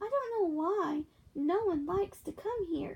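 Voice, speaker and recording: Soft-spoken and squeaky, a woman does a put-on character voice at an extremely high pitch, with lively intonation and a moderate pace. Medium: read story. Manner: soft, dreamy, sighing.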